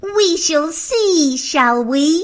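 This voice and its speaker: Using a put-on character voice, a woman speaks at an extremely high pitch with lively intonation. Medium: audio drama. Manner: proud, smug.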